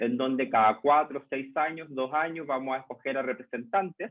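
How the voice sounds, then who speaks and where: The speaker has a Chilean accent. The pace is moderate. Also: man. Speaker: lecturer, journalist and communication researcher. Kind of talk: lecture. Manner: hesitant fillers (eh, em).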